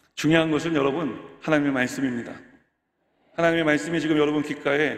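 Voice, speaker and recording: A very fast-talking man with audible room echo. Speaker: pastor. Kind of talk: sermon. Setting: church.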